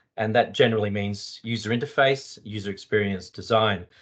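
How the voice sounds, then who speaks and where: A man with a strong Australian accent speaks at a medium pitch. The background is quiet. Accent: broad Australian. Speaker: psychologist and UX designer. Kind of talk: panel discussion.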